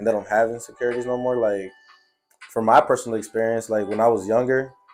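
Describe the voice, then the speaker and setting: A man speaks very fast at a medium pitch, his delivery flat and monotone, with music playing in the background. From US Midwest, Chicago. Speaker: podcast host. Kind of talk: casual chat. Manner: casual.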